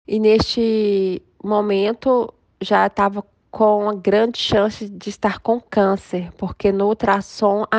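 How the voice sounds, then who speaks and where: Her intonation is monotone and flat. The woman's sound is dry and close, with no echo. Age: 40s. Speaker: lawyer and author, cancer survivor. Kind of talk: interview testimony.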